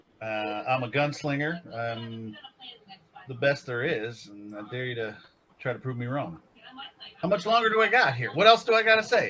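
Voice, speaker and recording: This man speaks with a Canadian accent at a fairly high pitch and a moderate pace, with very wide pitch swings, big swings in loudness, and long, frequent pauses. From Canada. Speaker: tabletop game player. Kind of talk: tabletop roleplaying session.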